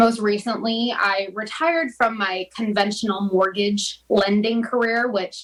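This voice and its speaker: With an American accent, a woman speaks at a moderate pace and fairly high pitch. Her intonation is fairly even, and background noise is noticeable. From Florida. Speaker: mortgage lender. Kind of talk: interview.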